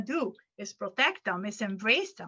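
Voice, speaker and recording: Against a quiet background, a woman's bright, sharp tone moves through very wide pitch swings. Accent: non-native. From Venezuela. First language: Arabic. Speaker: educator and workshop presenter. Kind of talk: conference workshop Q&A. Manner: halting, with repetitions.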